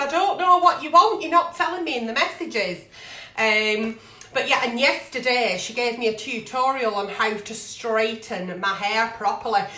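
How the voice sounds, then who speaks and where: With very wide pitch swings and a fairly high pitch, a woman speaks at a moderate pace amid noticeable background noise and audible room echo. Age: 40s. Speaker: online video host, agony aunt. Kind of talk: casual live-stream chat. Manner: chatty, rambling.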